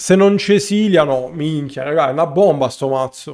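The man's intonation is lively, his pace moderate, and the background quiet. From Italy. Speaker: gaming streamer. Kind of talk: live gameplay commentary. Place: home room.

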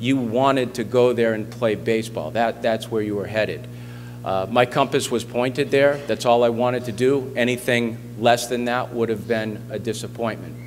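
Male speaker, moderate pace, light background noise. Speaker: guest, sports coach. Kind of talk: speech to a school assembly. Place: hall. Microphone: podium.

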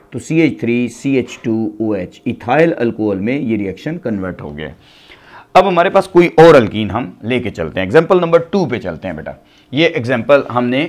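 The voice moves at a moderate pace with big pitch swings. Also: man, medium pitch for a man.

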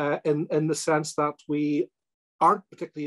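A man with a Northern Irish accent speaks at a fairly high pitch against a quiet background. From Northern Ireland. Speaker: politician. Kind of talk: webinar address. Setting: webinar. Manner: halting, many ums and ers. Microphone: video call.

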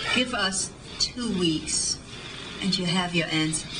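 Against noticeable background noise, a woman talks very slowly at a medium pitch with ordinary pitch variation. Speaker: actress. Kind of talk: film scene dialogue.

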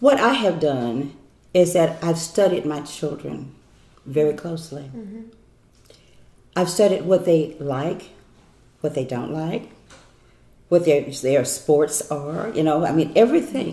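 A woman with a very deep, low pitch talks with lively intonation and big swings in loudness. Long, frequent pauses break up her speech, and room echo is audible. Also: fairly slow pace. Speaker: inspirational speaker. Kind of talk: interview answer. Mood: warm, smiling, affectionate. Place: kitchen.

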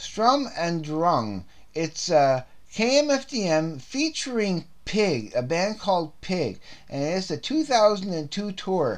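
Very slow speech from a man with a high voice and very wide pitch swings. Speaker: CD collector video host. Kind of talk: casual monologue reviewing CDs. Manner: halting, many repetitions and fillers; unedited, rambling delivery.

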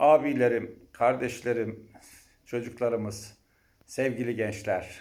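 A man speaks at a very slow pace. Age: 50s. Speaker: university lecturer and mayoral candidate. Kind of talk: campaign speech.

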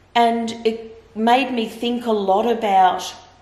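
There is audible room echo around this woman's voice. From Victoria, Australia. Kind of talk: interview answer. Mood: earnest, reflective. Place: home room.

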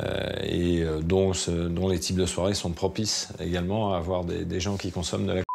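A man with a very deep, low voice speaks in a monotone, flat way at a moderate pace, with hardly any pauses. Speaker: restaurant waiter in recovery; interviewee. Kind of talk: interview. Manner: halting. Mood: reflective, calm. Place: home room.

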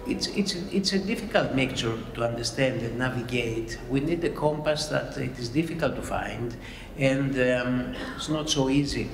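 A man at a moderate pace with ordinary pitch variation, with noticeable background noise. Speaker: panel moderator. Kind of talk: conference opening remarks. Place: hall. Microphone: podium.

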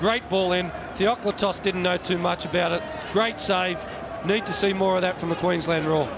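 A man's voice, high-pitched, relaxed in tone and moderate in pace, with fairly even intonation, very even loudness and noticeable background noise. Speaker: football co-commentator. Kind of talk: live sports co-commentary. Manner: relaxed analytical, conversational.

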